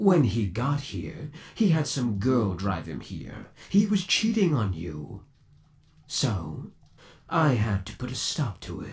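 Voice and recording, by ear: This put-on character voice swings very widely in pitch. The tone is slightly mellow and the pace slow. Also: man, fairly low pitch for a man.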